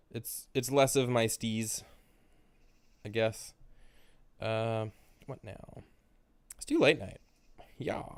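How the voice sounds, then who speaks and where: Speech comes very slowly with long, frequent pauses, fairly even intonation and big swings in loudness. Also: man, medium pitch for a man. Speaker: music youtuber. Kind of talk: casual music review monologue. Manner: casual, hesitant with fillers.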